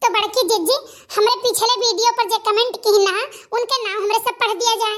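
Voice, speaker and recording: A cartoonish character voice speaks at a moderate pace with fairly even intonation. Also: woman, extremely high pitch for a woman. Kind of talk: rustic cartoon comedy. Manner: deferential, homely.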